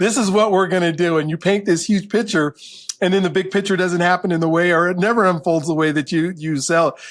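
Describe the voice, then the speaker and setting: In an American accent, a man with a high pitch talks at a fairly quick pace, his intonation fairly even and his loudness very even. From Colorado, US. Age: 60s. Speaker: professor. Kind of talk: interview.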